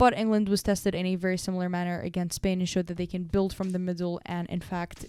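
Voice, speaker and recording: A woman speaks at a medium pitch in a dark, mellow tone. Her intonation is flat and monotone. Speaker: football pundit. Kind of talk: sports analysis video; call to subscribe.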